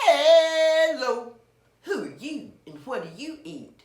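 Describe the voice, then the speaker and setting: A woman puts on a character voice, pitched high and delivered very slowly. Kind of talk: bedtime story. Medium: read story.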